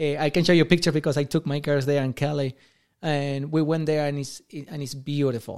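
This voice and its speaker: A man's fairly high-pitched, monotone, flat voice at a fairly quick pace, on a very clean recording with a silent background. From Argentina. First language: Spanish. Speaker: amateur soccer goalkeeper. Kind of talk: casual chat.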